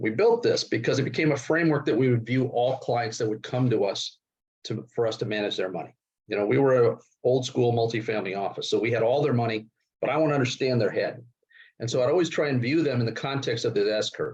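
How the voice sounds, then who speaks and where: A man speaks very fast at a medium pitch, somewhat breathy, with ordinary pitch variation. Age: 60s. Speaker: investment and securities expert. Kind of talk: interview.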